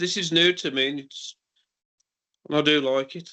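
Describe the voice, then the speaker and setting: At a fairly quick pace, a man with a West Midlands accent speaks in a bright, sharp tone at a fairly high pitch. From Cannock, Staffordshire. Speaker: care worker, tenant. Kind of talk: meeting introduction.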